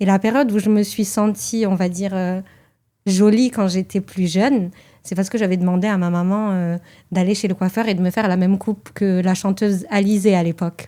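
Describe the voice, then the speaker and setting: In a very clean recording with a silent background, a woman with a dark, mellow tone and medium pitch speaks at a fairly quick pace with fairly even intonation. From France, Toulouse. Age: 30s. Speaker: journalist. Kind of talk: testimony interview. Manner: hesitant.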